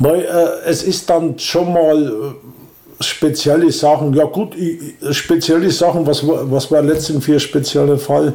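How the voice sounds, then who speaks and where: A man's fairly high voice with a dark, mellow tone, fairly even intonation, very even loudness and a very slow pace. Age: 60s. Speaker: volunteer organizer of a senior-help association. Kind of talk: casual interview. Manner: halting.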